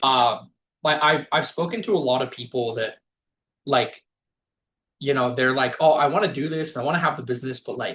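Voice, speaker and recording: A man is speaking. He has a Spanish accent. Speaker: business workshop presenter. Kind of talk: online workshop Q&A. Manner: casual, many fillers.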